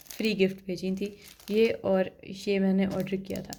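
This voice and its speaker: A woman's voice over noticeable background noise. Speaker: beauty and product review vlogger. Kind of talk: product review vlog. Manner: casual, conversational.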